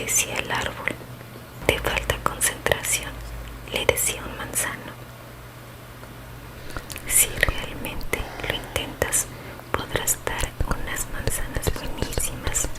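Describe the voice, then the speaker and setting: A woman whispering at a very slow pace with long, frequent pauses, over noticeable background noise. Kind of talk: ASMR bedtime story reading. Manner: whispered, soft-spoken.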